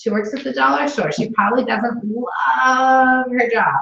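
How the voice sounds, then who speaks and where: Loud and animated, a woman talks at a fairly high pitch. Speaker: sales consultant trainer. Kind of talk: training session.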